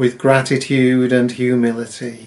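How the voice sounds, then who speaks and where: A man talks at a very slow pace with a British accent. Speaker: Methodist minister. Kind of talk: solemn intercessory prayer, read from a text. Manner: measured, reverent cadence with repeated 'Let us pray' petitions; earnest, heartfelt and formal. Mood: solemn, reverent. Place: home room. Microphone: webcam.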